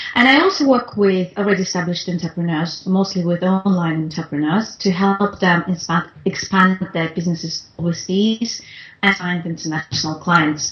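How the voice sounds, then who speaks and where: This woman's voice is somewhat breathy and medium in pitch, with ordinary pitch variation. She keeps a moderate pace with hardly any pauses. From Russia, Moscow. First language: Russian. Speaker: international business consultant. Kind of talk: interview. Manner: halting, many fillers.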